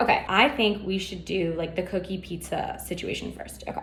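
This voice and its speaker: Noticeable background noise fills the clip. A woman talks at a fairly quick pace. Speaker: baking show host. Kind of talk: casual tutorial. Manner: fast; animated.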